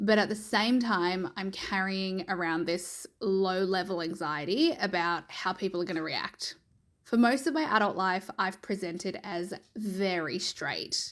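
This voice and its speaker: In a very clean recording with a silent background, a woman speaks at a fairly slow pace with medium pitch and ordinary pitch variation. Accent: Australian. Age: 30s. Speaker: listener sending a voice memo. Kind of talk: recorded voice memo testimony.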